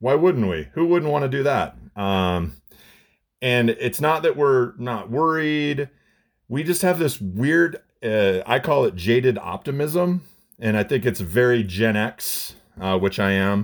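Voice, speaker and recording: A man speaks at a fairly slow pace and medium pitch, with very wide pitch swings. The recording is very clean, with a silent background. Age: 40s. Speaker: restaurant owner. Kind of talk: radio interview. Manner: casual, laughing.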